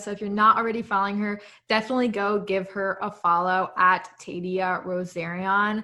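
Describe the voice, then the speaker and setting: A woman with an American accent speaks at a medium pitch in a bright, sharp tone. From United States. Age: 20s. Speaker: podcast co-host, finance student. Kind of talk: casual podcast chat.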